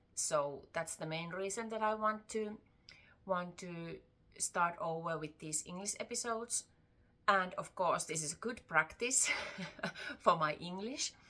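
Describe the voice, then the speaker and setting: A woman speaks at a fairly slow pace in a Finnish accent, her medium pitch showing ordinary variation. Her loudness swings widely, with long, frequent pauses. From Finland, Tampere. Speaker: crochet vlogger. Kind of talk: casual vlog talk. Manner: halting, with fillers.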